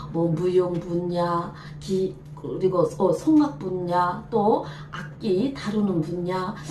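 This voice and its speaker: Woman at a very slow pace with ordinary pitch variation, amid noticeable background noise. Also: fairly low pitch for a woman. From North Korea, Jagang Province. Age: 50s. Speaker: folk dancer, troupe director. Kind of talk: interview answer.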